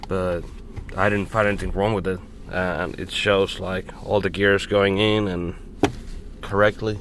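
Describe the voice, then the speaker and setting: Fairly low in pitch, a man talks fairly slowly in a monotone, flat intonation. Long, frequent pauses break up his speech. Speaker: mechanic. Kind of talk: casual talk to camera, repair walkthrough. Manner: hesitant, stuttering.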